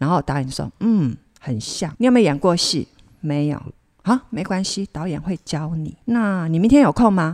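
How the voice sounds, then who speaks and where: A woman speaks at a moderate pace in a fairly low pitch, her voice swinging very widely in pitch, with a dry, close sound with no echo in a very clean recording over a silent background. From Kaohsiung, southern Taiwan. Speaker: actress. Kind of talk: casual interview chat. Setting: on location away from studio.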